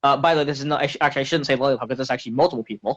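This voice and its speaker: A man's fairly high-pitched voice comes through with a dry, close sound and no echo. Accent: American. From Canada. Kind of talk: heated confrontation interview. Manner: animated, confrontational.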